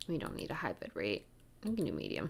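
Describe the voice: A woman's extremely low voice with vocal fry, very wide pitch swings and a fast pace.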